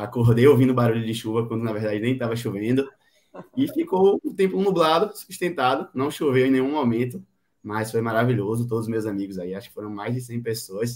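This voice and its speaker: Using an unremarkable speaking voice, a man talks at a fairly quick pace with medium pitch and lively intonation. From Brazil, Bahia (Salvador). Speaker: medical student and amateur runner. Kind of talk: interview. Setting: live stream.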